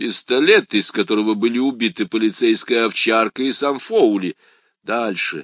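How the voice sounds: Over a quiet background, a natural reading voice is heard.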